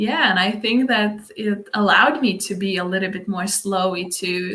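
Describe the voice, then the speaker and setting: A medium-pitched woman's voice with ordinary pitch variation. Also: moderate pace. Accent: Lithuanian. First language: Lithuanian. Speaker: dance instructor. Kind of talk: casual chat. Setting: live stream. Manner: halting.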